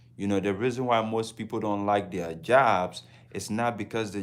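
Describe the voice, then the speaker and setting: A man with a Ghanaian accent, fairly low in pitch with ordinary variation, at a moderate pace. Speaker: travel vlogger. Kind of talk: casual livestream talk.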